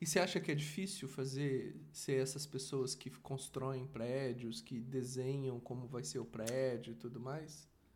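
This man's voice sits at a medium pitch, somewhat breathy, with ordinary pitch variation. He talks at a fairly slow pace with hardly any pauses. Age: 40s. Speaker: father and podcast host. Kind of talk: casual chat.

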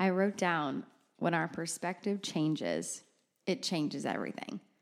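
A woman with vocal fry speaks at a fairly low pitch and a moderate pace, with ordinary pitch variation. The recording is very clean, with a silent background. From rural area, grew up on a farm. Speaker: worship leader and podcast co-host. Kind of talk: casual chat. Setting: studio.

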